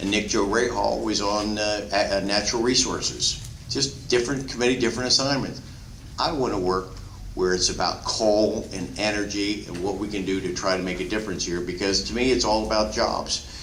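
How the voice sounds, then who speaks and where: With an American accent, a man speaks at a moderate pace and fairly low pitch with ordinary pitch variation, amid audible room echo and noticeable background noise. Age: 60s. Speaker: politician. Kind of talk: town hall speech. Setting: town hall meeting with audience. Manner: halting, many fillers and repeats.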